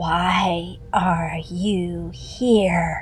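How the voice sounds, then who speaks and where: A raspy, put-on character voice comes through quietly at a middle pitch. Background noise is clear. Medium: read story. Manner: menacing.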